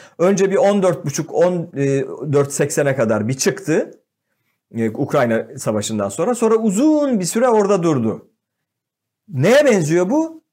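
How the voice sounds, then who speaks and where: A man's high voice with a dark, mellow tone, very wide pitch swings, very even loudness and a very slow pace, on a very clean recording with a silent background. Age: 50s. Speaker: economist. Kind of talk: casual chat.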